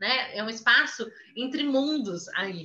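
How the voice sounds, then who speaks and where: A woman's voice is raised and projected, with a bright, sharp tone. There is audible room echo. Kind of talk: lecture. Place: home room. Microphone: webcam.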